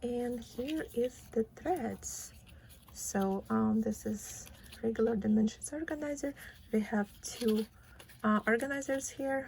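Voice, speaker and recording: The speaker has a non-native accent, a somewhat breathy quality and a fairly slow pace. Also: woman. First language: not English. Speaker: cross stitch vlogger. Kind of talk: casual vlog, unboxing and craft talk. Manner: casual, with frequent fillers.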